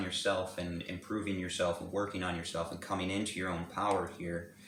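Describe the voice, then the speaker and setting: A man's very deep, low, monotone, flat voice at a very fast pace, with audible room echo and noticeable background noise. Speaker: tarot reader. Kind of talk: tarot reading. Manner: halting, many fillers and repetitions.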